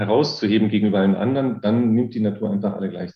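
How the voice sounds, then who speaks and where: A man speaks with a fairly low pitch and fairly even intonation. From Rhineland, Germany. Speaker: physics professor. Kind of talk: interview. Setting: video call. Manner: hesitant, many filler sounds.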